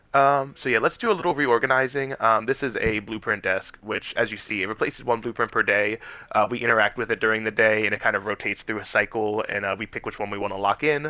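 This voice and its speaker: A man talks at a very fast pace with ordinary pitch variation. His tone is bright and sharp. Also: medium pitch for a man, hardly any pauses. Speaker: gaming YouTuber. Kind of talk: gameplay commentary. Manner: hesitant fillers.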